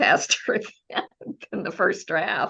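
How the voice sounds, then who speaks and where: A woman with an American accent talks at a very slow pace. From United States. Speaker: mystery novelist. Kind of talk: interview answer.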